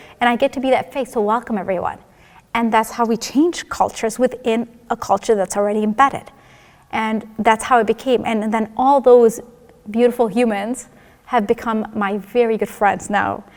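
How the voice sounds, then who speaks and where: A woman's fairly high voice, with fairly even intonation, comes through amid noticeable background noise. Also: moderate pace. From Egypt. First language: Arabic and German. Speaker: school psychologist. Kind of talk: personal testimony interview. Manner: casual, conversational.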